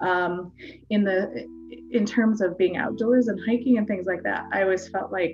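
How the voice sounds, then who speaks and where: A woman with ordinary pitch variation over music in the background. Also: medium pitch for a woman, moderate pace. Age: 40s. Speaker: fitness community founder. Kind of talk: interview. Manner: halting, many fillers.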